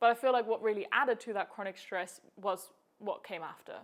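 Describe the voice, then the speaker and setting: A woman talks with a German accent at a fairly quick pace. Her pitch sits fairly high, with fairly even intonation. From Germany. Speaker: health coach. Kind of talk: personal story vlog. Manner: casual, conversational.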